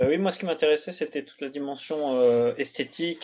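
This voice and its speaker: A man's voice, an unremarkable speaking voice, sits at a fairly high pitch and rises and falls in an ordinary way. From France. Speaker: doctoral student. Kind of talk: academic discussion. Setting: video call.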